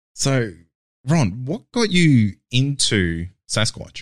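In a very clean recording with a silent background, a man with an Australian accent speaks with very wide pitch swings. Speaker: podcast host interviewing. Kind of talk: interview.

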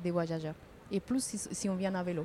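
With a dark, mellow tone, a woman speaks at a medium pitch and sounds somewhat breathy. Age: 50s. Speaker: passerby, cycling traveller. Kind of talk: casual chat. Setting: outdoors.

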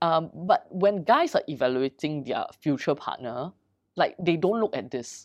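An ordinary speaking voice moves at a fairly slow pace with lively intonation. The background is quiet. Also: woman, fairly low pitch for a woman. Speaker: dating company founder. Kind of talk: casual interview.

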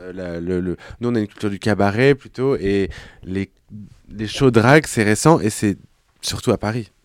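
Long, frequent pauses break up a man's fairly low voice, delivered at a moderate pace with ordinary pitch variation in a dry, close sound with no echo. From France, Clermont-Ferrand. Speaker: drag queen and actor. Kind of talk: casual chat.

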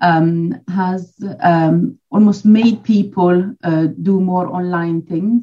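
Somewhat breathy speech at a very slow pace. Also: woman, medium pitch for a woman, fairly even intonation. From Switzerland. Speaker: dog trainer and behaviourist. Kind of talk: casual interview chat.

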